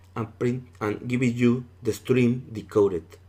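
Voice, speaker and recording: Fairly slow speech in a non-native accent. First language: not English. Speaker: cybersecurity instructor. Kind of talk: tutorial. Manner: casual, conversational.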